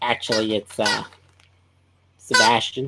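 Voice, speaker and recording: A cartoonish character voice in a Southern US accent, low-to-middle in pitch and fairly slow. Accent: southern American. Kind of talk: cartoon character voice.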